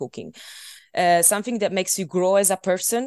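A woman with an Italian accent and a fairly low pitch talks at a fairly quick pace, with a dry, close sound with no echo and a quiet background. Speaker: journalism student, co-host. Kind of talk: casual chat. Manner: halting, many fillers.

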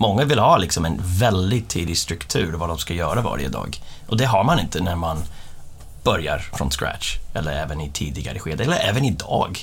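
Audible room echo surrounds a man whose very deep, low voice makes very wide pitch swings at a moderate pace. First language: English (speaking Swedish). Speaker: company executive. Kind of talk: casual interview. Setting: studio. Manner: halting.

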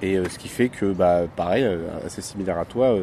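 Amid noticeable background noise, a man speaks with a very deep, low pitch. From Morocco. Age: young. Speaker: podcast co-host. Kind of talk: casual chat. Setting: outdoors, hotel terrace.

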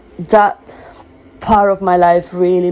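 Speaking with a Spanish accent, a woman talks at a moderate pace and a fairly low pitch. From Venezuela. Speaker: business owner. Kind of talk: personal testimony.

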